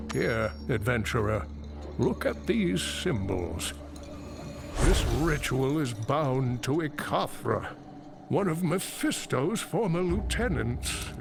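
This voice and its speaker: A man puts on a character voice at a medium pitch, talking at a fairly slow pace. Loud background noise runs behind him. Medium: video game. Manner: earnest, grave.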